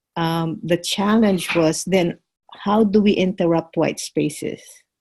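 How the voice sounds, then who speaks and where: The voice has a dark, mellow tone and is somewhat breathy. Its intonation stays fairly even. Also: woman. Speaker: course participant. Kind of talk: group discussion. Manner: halting, many fillers.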